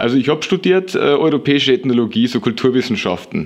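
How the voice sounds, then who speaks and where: His pitch swings very widely as this man talks. He moves at a fairly quick pace. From Lower Bavaria, Germany. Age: 20s. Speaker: longboard maker. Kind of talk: interview. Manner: hesitant with frequent fillers.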